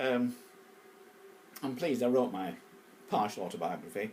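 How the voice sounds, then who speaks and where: With lively intonation and long, frequent pauses, a man speaks at a medium pitch over noticeable background noise. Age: 70s. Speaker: poet. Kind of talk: casual monologue. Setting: at home. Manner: halting.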